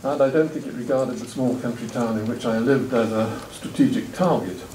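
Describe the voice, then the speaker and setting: A man's medium-pitched voice with an English accent at a moderate pace, with noticeable background noise and audible room echo. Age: 70s. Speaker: retired professor. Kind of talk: talk at a roundtable. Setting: stage with audience.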